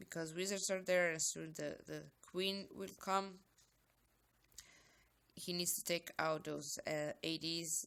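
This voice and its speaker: A woman with a fairly low voice speaks at a very slow pace. She uses long, frequent pauses and monotone, flat intonation. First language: not English. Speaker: gaming YouTuber. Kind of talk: game commentary.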